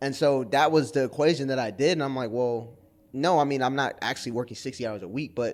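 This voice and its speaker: A man with an American accent and an unremarkable speaking voice talks fairly quickly at a medium pitch with fairly even intonation, recorded very cleanly against a silent background. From Brooklyn, New York. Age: 30s. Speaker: creative freelancer. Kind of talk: interview.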